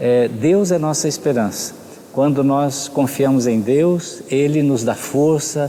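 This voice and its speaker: Pitched fairly high, a man speaks at a very slow pace with ordinary pitch variation, and there is noticeable background noise. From Brazil, São Paulo (born in Rio de Janeiro state). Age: 60s. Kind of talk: interview.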